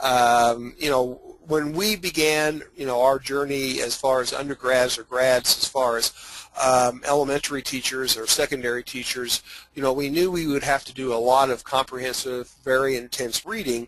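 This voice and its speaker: Noticeable background noise sits behind a man with an Indiana accent who speaks at a moderate pace, at a medium pitch, with fairly even intonation. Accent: Hoosier twang. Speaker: teacher and author. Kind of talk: webinar presentation. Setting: online webinar. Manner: hesitant, many fillers.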